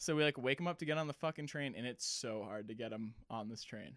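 An unremarkable speaking voice, a man with an American accent talks at a fairly quick pace and medium pitch. The pitch varies in an ordinary way, and the sound is dry and close with no echo. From Massachusetts (Cape Cod). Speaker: army veteran and ski shop worker. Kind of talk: casual storytelling. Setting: home recording. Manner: casual, filler-heavy.

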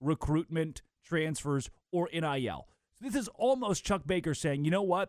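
A man talks at a moderate pace in an unremarkable speaking voice. His pitch is fairly high and his intonation lively. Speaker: sports radio host. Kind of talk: sports talk radio banter. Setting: radio studio. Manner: conversational, bantering.

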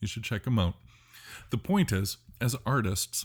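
Somewhat breathy and with lively intonation, a man speaks on a very clean recording with a silent background. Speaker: podcast host and painter. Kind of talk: solo podcast monologue. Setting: home art studio.

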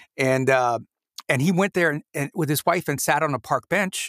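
This man speaks at a moderate pace in a fairly high pitch, with an animated tone and ordinary pitch variation. The very clean recording has a dry, close sound with no echo and a silent background. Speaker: podcast host and voiceover artist. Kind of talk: casual interview chat. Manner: animated storyteller.

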